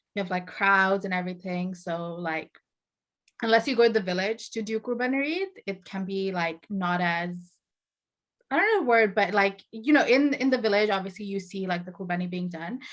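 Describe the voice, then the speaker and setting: A woman speaks with a Bengali accent and ordinary pitch variation. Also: medium pitch for a woman, moderate pace. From Saudi Arabia, Bangladeshi family (born in Bangladesh). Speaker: author and video host. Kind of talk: casual chat.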